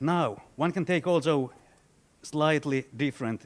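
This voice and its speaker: Ordinary pitch variation marks this man's voice. He talks at a fairly slow pace. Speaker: central banker, panel commentator. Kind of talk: prepared commentary at book launch. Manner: loud; halting, many repetitions.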